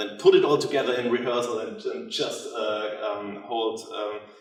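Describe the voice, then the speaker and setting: A man with a non-native accent speaks at a moderate pace amid audible room echo and noticeable background noise. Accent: non-native English speaker. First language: German. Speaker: theatre director. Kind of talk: lecture. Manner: halting, many fillers.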